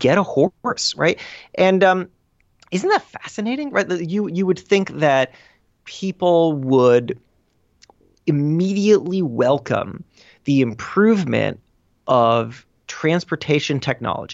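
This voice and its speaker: A man with a high voice talks at a fairly slow pace, his intonation lively. He leaves long pauses, and often. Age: 30s. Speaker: magazine editor and podcast host. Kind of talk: interview. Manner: halting.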